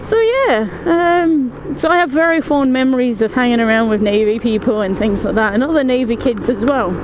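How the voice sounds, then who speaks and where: With an English accent, a woman speaks in a high pitch at a moderate pace with lively intonation. Her loudness is very even, there are hardly any pauses, and noticeable background noise can be heard. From England, moved to Scotland at five. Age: 20s. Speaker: gaming YouTuber. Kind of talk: casual vlog while driving. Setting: in a car.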